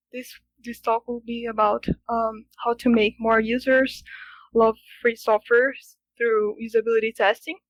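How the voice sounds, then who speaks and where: With a Brazilian Portuguese accent, a woman speaks at a fairly slow pace with long, frequent pauses, monotone, flat intonation, big swings in loudness and a dry, close sound with no echo. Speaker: software engineering student. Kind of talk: conference talk. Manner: halting, many fillers.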